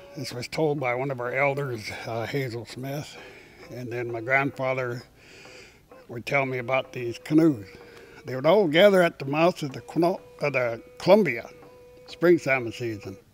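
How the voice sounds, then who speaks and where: In an American accent, the speaker goes at a moderate pace with long, frequent pauses, ordinary pitch variation and big swings in loudness, over noticeable background noise. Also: man, medium pitch for a man. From Washington State coast, US Pacific Northwest. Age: old. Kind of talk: oral history storytelling.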